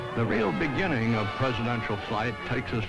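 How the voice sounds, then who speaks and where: A man's medium-pitched voice with an American accent at a moderate pace, music playing in the background. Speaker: actor. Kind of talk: documentary narration.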